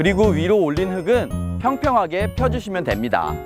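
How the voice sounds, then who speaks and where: At a moderate pace the speaker talks while music plays in the background. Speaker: urban farming instructor. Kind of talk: casual instructional talk to camera. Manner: friendly, conversational.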